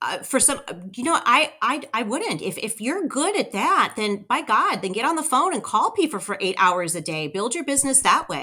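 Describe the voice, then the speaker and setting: At a moderate pace with hardly any pauses, a woman uses a raised, projected voice, high pitch, a bright, sharp, energetic tone and very wide pitch swings. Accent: Californian. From Southern California. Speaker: real estate broker and owner. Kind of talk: interview conversation.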